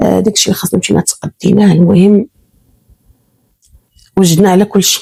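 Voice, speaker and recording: Somewhat breathy and dark, mellow in tone, a woman's voice comes across dry and close with no echo. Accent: Moroccan. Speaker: storyteller. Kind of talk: first-person real-life story narration.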